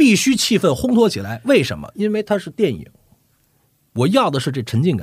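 A somewhat breathy man's voice at a fairly quick pace, with very wide pitch swings, in a very clean recording against a silent background. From northern China. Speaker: voice actor and dubbing director. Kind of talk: casual chat.

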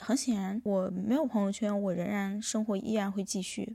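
A woman speaks in a dark, mellow, somewhat breathy voice at a medium pitch. Her pace is moderate and her intonation fairly even. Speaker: podcast host. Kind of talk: solo monologue. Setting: hotel room.

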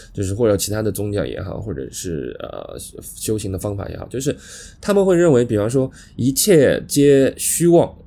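A strong Shanghai accent with big swings in loudness. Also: man, moderate pace. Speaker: podcast co-host. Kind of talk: casual chat. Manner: halting, many fillers.

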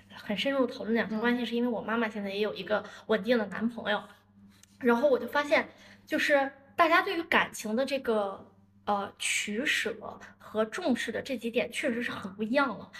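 A woman uses an ordinary speaking voice with fairly high pitch. Her pitch variation is ordinary and her pace moderate. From northern China, Dalian. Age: 30s. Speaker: marketing entrepreneur. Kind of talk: casual chat.

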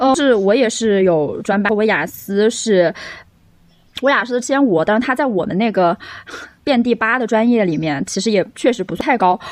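With lively intonation at a moderate pace, this is an ordinary speaking voice. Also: woman, fairly high pitch for a woman. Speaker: podcast co-host, English teacher. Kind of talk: casual chat.

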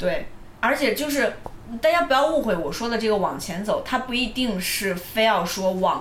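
A woman's fairly high voice swings very widely in pitch, with audible room echo and noticeable background noise. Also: moderate pace. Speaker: podcast co-host. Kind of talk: casual chat.

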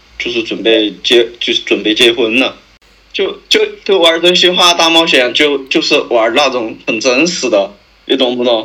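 With lively intonation and a fairly high pitch, a man talks at a moderate pace in a plain, everyday voice. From Sichuan county town, China. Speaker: podcast guest sharing a story. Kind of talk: casual storytelling chat. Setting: remote call.

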